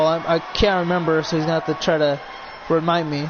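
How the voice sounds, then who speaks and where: Noticeable background noise runs beneath a man whose voice sits high in pitch. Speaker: streamer hosting wrestling video game show. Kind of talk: live commentary. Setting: live stream. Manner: fast; halting.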